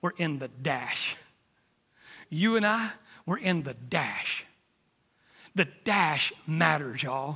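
This man has an American accent and a fairly high pitch with a bright, sharp tone. He speaks at a very slow pace, with long, frequent pauses. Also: lively intonation. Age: 50s. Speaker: preacher. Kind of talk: sermon. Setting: church.

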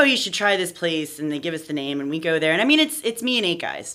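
A woman's fairly low voice with very wide swings in pitch, over noticeable background noise. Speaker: trombonist in a ska band. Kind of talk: casual chat.

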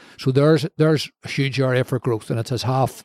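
A man with a Belfast accent speaks at a medium pitch and a fairly quick pace. His intonation is monotone and flat, and the sound is dry and close with no echo. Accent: Belfast Northern Irish. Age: 60s. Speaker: former mayor and media executive. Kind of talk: interview. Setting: bar.

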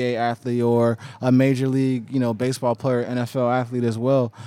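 A man talks at a fairly quick pace with a monotone, flat intonation. His pitch is medium and his tone is dark and mellow. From Oklahoma. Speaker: documentary filmmaker. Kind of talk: interview.

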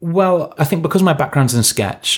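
A man speaks with a London accent. The recording is very clean, with a silent background. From London, England. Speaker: TV animation head writer. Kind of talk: interview.

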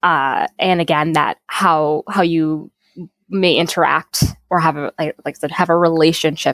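A woman's very deep, low voice with an American accent, fairly even intonation and a moderate pace, dry and close with no echo. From Minnesota, Saint Paul. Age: young. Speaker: environmental justice advocate. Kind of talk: interview conversation.

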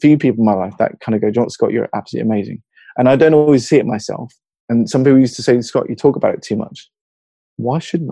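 Talking at a very fast pace, a man with a slight southern English accent holds a medium pitch. His pitch varies in an ordinary way. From Hertfordshire, England. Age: 40s. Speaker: mental health advocate. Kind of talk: casual interview conversation. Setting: video call across time zones.

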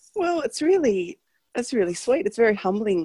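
In an Australian accent, a woman's dark, mellow voice swings very widely in pitch, the sound dry and close with no echo. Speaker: coaching program member. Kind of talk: casual interview.

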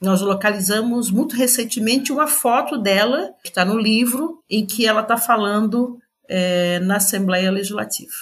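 Fairly high in pitch, a woman speaks in a plain, everyday voice. She keeps a moderate pace with hardly any pauses. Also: ordinary pitch variation. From Brazil, Florianópolis (Santa Catarina). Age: 60s. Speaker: educator and author. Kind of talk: interview.

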